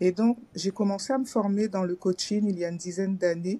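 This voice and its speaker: A woman's somewhat breathy, dark, mellow voice at medium pitch, dry and close with no echo. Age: 60s. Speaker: former civil servant training as finance coach. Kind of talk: testimony. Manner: hesitant, many fillers.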